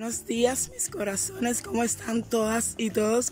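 A woman talks at a fairly slow pace. The sound is dry with no echo, and there is light background noise. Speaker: vlogger. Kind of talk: casual vlog chat. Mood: cheerful, joking. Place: street. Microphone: phone near.

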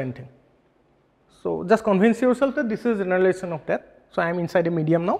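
A man's very fast, high-pitched delivery with lively intonation. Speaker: physics lecturer. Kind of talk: lecture. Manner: halting. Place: classroom.

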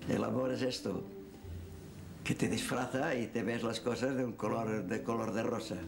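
Clear music plays behind a man speaking at a moderate pace. His intonation is fairly even, with long, frequent pauses. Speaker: elderly witness recalling his life. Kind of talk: interview answer. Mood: calm, reflective, without bitterness. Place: home room.

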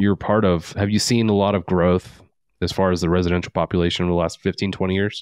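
A man with a fairly low voice is heard against a quiet background, the sound dry with no echo. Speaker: podcast host. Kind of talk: casual chat. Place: studio. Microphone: studio mic.

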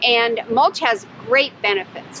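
Her intonation lively, a woman speaks in a dry sound with no echo over light background noise. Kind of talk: tutorial. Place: garden.

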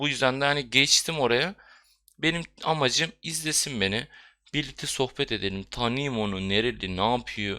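This man has a medium pitch and a bright, sharp tone, with lively intonation at a moderate pace. The recording is very clean with a silent background. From Bulgaria and Istanbul, Turkish minority. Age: 20s. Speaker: gaming YouTuber. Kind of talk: casual vlog monologue.

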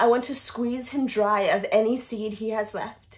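A woman with a high pitch and an intense tone. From Australia. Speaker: actor performing an audition-style monologue. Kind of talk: dramatic theatrical monologue, confessional and raw. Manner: emotionally intense, building from grief to bitter rage; repetitive, anguished emphasis. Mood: anguished, bitter, rising anger. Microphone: phone near.

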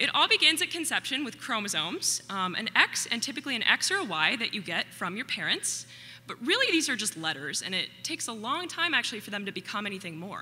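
A woman's very fast speech with hardly any pauses and very wide pitch swings, music in the background. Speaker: presenter. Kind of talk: public talk. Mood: light, playful. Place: stage. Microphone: podium.

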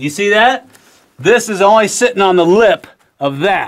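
Ordinary pitch variation marks speech delivered at a fairly slow pace. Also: man. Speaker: guide. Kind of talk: tour commentary. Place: tunnel cave. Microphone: camera far.

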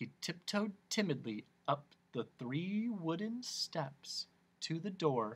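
Slow and fairly high, a man's voice with a slightly husky edge moves through big pitch swings.

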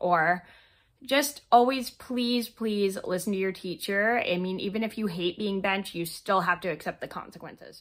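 At a fairly slow pace, a woman speaks at a medium pitch with a fairly bright tone and ordinary pitch variation.

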